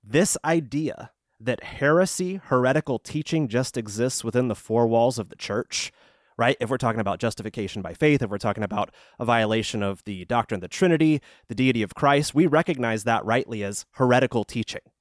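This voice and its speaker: Recorded very clean with a silent background and a dry, close sound with no echo, a man talks at a fairly quick pace at a medium pitch with ordinary pitch variation in a plain, everyday voice. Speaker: radio co-host. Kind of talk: casual chat.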